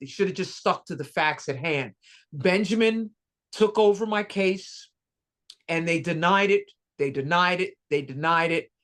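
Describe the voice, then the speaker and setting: A woman with a normal speaking voice over a quiet background. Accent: American. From New York. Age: 60s. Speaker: Navy veteran and VA engineering supervisor. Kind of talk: testimony. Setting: video call.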